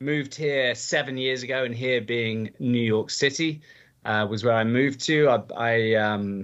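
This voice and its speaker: A man's medium-pitched voice in an English accent, with ordinary pitch variation. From England. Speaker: charity auctioneer and gala host. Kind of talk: podcast interview. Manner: energetic.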